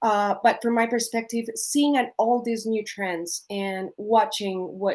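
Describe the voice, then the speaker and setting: Speaking at a fairly slow pace with a Colombian accent, a woman shows ordinary pitch variation against a quiet background. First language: Spanish. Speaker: coffee producer. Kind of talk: panel discussion. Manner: halting, with many fillers.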